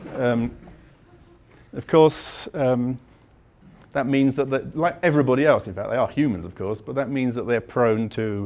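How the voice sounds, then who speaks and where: With a London accent, a man speaks with ordinary pitch variation. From London, England. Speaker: mathematics professor. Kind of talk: lecture.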